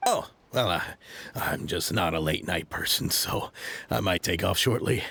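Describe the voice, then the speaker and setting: This is a man doing a put-on character voice, raspy and fairly low in pitch. He talks at a moderate pace. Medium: video game. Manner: hesitant, stammering.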